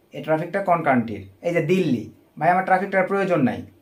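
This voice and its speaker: The speaker is a man with a high-pitched voice. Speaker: online marketing trainer. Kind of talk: tutorial. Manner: casual, addresses viewers as brother often.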